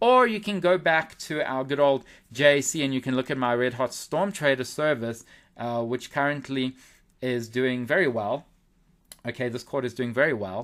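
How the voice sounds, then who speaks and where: A man's ordinary speaking voice, medium in pitch, with ordinary pitch variation and a moderate pace. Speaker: forex trader and newsletter analyst. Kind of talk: webinar market analysis.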